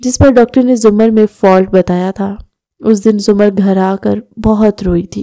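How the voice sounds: Against a quiet background, a natural reading voice moves with fairly even intonation.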